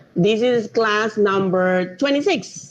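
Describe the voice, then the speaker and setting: Speaking very slowly with lively intonation, a woman with a Panamanian accent keeps to a medium pitch. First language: Spanish. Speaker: drone project manager, marine engineer. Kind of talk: online lecture.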